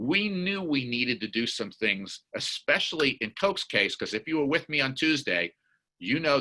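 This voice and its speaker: Against a quiet background, a man's bright, sharp tone moves through very wide pitch swings. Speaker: corporate diversity executive and advisor. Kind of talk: webinar presentation. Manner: fast.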